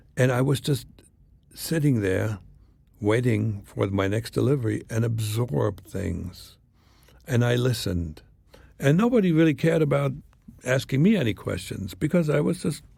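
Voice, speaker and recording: A man with a slight German accent speaks at a moderate pace with lively intonation and vocal fry, broken by long, frequent pauses. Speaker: former spy. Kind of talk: interview storytelling.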